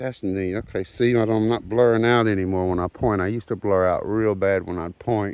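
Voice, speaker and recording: Over a quiet background, a man with a Southern US accent and fairly low pitch talks at a moderate pace with fairly even intonation and hardly any pauses. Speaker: rockhounding vlogger. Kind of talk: casual outdoor vlog narration. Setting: outdoors in a forest creek. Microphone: phone camera.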